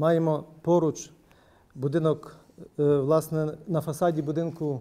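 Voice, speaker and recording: A man speaks with a dark, mellow tone. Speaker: panelist. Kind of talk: formal round-table speech. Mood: calm, reflective. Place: meeting room.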